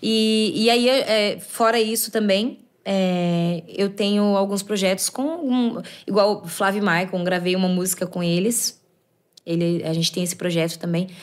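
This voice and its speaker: Fairly slow speech from a woman with ordinary pitch variation, over a quiet background. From Limeira, São Paulo state, Brazil; São Paulo State, Brazil. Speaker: sertanejo singer; guest. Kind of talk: casual chat. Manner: halting. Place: studio. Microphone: studio mic.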